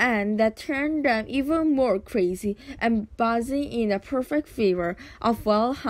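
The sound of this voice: Reading done in an unforced reading voice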